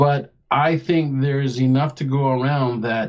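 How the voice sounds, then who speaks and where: A man talks at medium pitch with monotone, flat intonation. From England, Nottingham. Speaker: former military officer. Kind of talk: radio interview.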